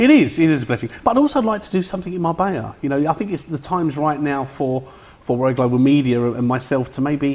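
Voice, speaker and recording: Very fast and fairly high in pitch, a man speaks in an East London accent. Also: ordinary pitch variation. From East London (Bethnal Green). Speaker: film production director. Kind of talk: interview.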